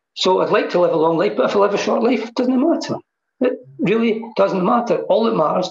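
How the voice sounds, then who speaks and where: In a Scottish accent, a man speaks at a fairly quick pace. His intonation is lively. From Scotland. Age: 60s. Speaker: mindfulness teacher. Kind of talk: casual chat.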